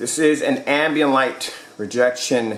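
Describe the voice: A fairly bright voice with ordinary pitch variation comes at a fairly slow pace, with audible room echo. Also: man, medium pitch for a man.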